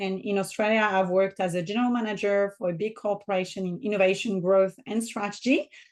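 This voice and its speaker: The speaker has a French accent. The intonation is fairly even. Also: woman, quiet background. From southern France. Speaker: business mentor and author. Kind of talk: podcast interview.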